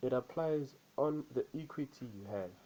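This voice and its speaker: A man speaks with a dark, mellow tone. His pitch varies in an ordinary way. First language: not English. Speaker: trader. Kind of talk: vlog, personal experience. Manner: repetitive, halting.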